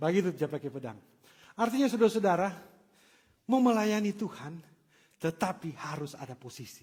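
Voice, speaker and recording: Here a man with a high pitch speaks at a fairly quick pace. His intonation is lively. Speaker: pastor. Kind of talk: sermon. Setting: church. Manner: animated.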